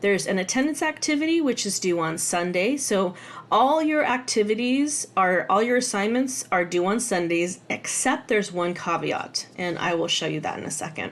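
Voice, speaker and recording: A woman with a medium pitch talks with hardly any pauses and very wide pitch swings. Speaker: college instructor. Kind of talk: tutorial. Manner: fast; casual, with fillers.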